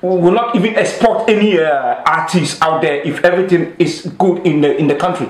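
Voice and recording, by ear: A man with a Ghanaian accent speaks at a fairly high pitch, and the room echo is strong. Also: ordinary pitch variation, moderate pace.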